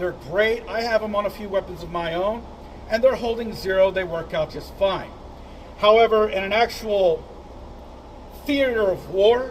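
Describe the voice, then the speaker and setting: Over noticeable background noise, a man speaks loudly at a high pitch and a moderate pace, with ordinary pitch variation and long, frequent pauses. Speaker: firearms reviewer and instructor. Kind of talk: product review. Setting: outdoor shooting range.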